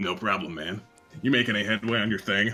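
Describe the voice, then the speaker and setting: Over faint background music, a man rattles along at a very fast pace in a put-on character voice, fairly low in pitch with ordinary pitch variation. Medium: actual play. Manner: casual, slangy, breezy.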